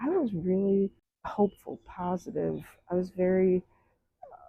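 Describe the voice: A woman with a fairly low pitch speaks with vocal fry and a slightly husky edge, in a dry, close sound with no echo.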